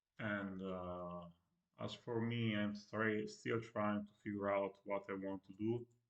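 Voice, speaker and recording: Speaking at a very slow pace with hardly any pauses, a man keeps a monotone, flat intonation at a fairly low pitch. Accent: non-native. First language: Italian. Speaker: streamer. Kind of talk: casual live-stream monologue. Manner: halting, stutters a lot; hesitant with many fillers. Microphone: no microphone, built-in computer audio.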